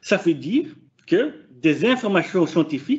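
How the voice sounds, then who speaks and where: In a Flemish accent, a man with a high pitch talks at a fairly slow pace, his pitch swinging very widely. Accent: non-native French, Flemish. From Flanders, Belgium. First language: Dutch (speaking French). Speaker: PhD student researcher. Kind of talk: conference presentation. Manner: hesitant, many fillers.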